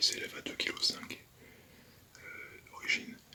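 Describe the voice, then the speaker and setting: Whispering at a moderate pace in a calm tone, against noticeable background noise. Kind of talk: ASMR whisper / soft-spoken talk. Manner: whispered, soft-spoken; calm, hesitant.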